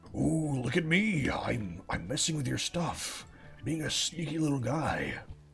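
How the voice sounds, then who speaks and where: In a cartoonish character voice, a man speaks fairly slowly at a fairly high pitch with lively intonation while clear music plays behind him. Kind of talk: cartoonish voice. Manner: playful, silly, teasing.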